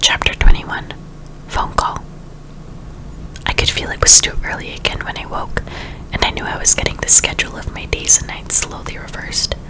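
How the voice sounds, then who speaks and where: Whispering at a fairly quick pace, the speaker shows big swings in loudness and long, frequent pauses over noticeable background noise. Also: woman. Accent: American. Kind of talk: audiobook reading. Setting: with ambient sound effects. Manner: whispered.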